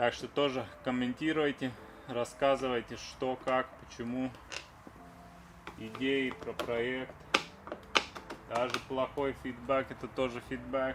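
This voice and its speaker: A man speaks with monotone, flat intonation and long, frequent pauses. Noticeable background noise runs throughout. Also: medium pitch for a man, fairly slow pace. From Latvia. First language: Latvian. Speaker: car restoration vlogger. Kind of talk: casual DIY vlog talk while working. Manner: casual, chatty.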